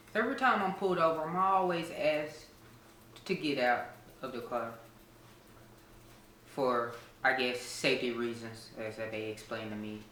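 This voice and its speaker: Over noticeable background noise and audible room echo, a man speaks at a medium pitch and moderate pace. His intonation is lively, broken by long, frequent pauses. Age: 30s. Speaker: interviewee. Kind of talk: casual interview.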